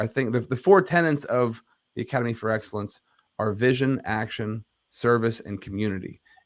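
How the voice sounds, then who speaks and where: At a very fast pace, a man speaks in a medium pitch with ordinary pitch variation. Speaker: leadership coach and podcaster. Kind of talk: interview. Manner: clear enunciation.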